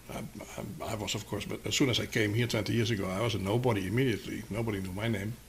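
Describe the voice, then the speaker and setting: A man with a Dutch accent talks very fast in a fairly low pitch, hardly pausing at all. His intonation is fairly even, and the room echo is audible. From Netherlands, Amsterdam. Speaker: publishing company co-founder. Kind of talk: interview. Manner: halting, many fillers.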